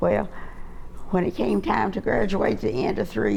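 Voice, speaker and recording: A woman is speaking. Room echo can be heard. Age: 80s+. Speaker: war veteran. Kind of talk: interview. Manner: halting.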